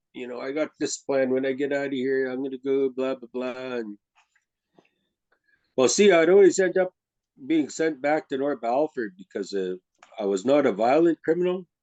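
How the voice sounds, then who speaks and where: Dark, mellow tone with lively intonation and big swings in loudness, a moderate pace with long, frequent pauses, and a dry, close sound with no echo. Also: man, medium pitch for a man. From Saskatchewan, Poundmaker Cree Nation. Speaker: storyteller. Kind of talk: personal testimony storytelling. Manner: conversational, with repetitions and restarts.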